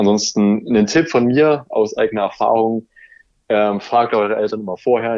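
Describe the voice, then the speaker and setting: A man speaks with a fairly low pitch. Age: 20s. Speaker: YouTuber on aquarium and terrarium hobby. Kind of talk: casual interview. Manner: hesitant with fillers.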